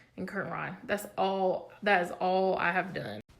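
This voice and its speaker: At a fairly slow pace, a woman speaks at a medium pitch with audible room echo. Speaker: home decor blogger. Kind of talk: casual home tour video. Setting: at home. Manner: casual, chatty; quieter to avoid waking child.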